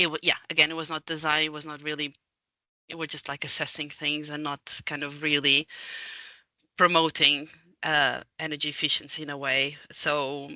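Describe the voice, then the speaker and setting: In a Portuguese accent, a woman with a very deep, low pitch and a bright, sharp tone speaks in a monotone, flat intonation with big swings in loudness, in a dry, close sound with no echo and a quiet background. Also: moderate pace. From Portugal. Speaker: architect and building energy consultant. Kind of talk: casual interview conversation. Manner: halting, many fillers.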